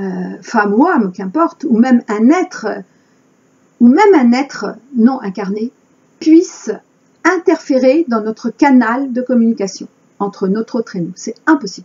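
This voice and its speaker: In a high-pitched voice with lively intonation, a woman talks with long, frequent pauses. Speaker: spiritual channeler. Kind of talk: spiritual monologue.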